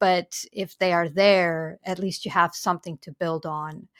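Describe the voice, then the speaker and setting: In a Romanian accent, a woman speaks at a fairly slow pace, with a dry, close sound with no echo on a very clean recording over a silent background. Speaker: policy researcher. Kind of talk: interview.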